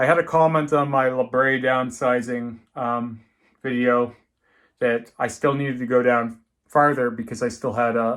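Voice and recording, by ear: Speaking at a fairly slow pace, a man uses a medium pitch and a fairly bright tone with fairly even intonation.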